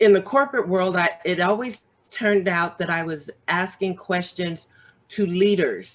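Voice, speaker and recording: A woman talks at a medium pitch with ordinary pitch variation. Hers is a plain, everyday voice. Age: 60s. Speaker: author and business owner. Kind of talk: casual chat.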